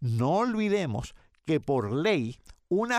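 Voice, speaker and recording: A man's voice shows very wide pitch swings in a very clean recording with a silent background. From Puerto Rico, Yauco. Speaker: retired economics professor. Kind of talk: radio interview.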